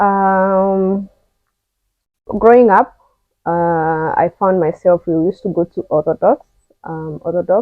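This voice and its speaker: A woman speaks with a Kenyan accent at a medium pitch and a very slow pace. Her intonation stays fairly even, broken by long, frequent pauses. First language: Kikuyu. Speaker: vlogger. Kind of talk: personal testimony. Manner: casual, halting.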